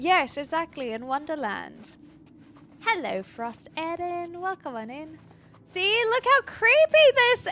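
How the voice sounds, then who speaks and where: Her pitch swings very widely. This woman is heard over noticeable background noise. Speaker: video game streamer. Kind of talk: live gameplay commentary. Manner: animated.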